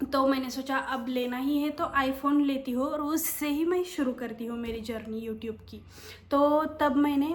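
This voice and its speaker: A woman with a Marathi accent speaks in a high pitch, with audible room echo. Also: fairly even intonation, moderate pace. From Maharashtra, India. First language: Marathi (speaking Hindi). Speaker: YouTuber and office worker. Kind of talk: casual vlog talk. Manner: hesitant, many fillers.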